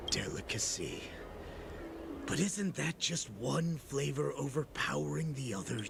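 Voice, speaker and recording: Over loud background noise, a man uses a put-on character voice at a moderate pace. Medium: video game. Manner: taunting, menacing.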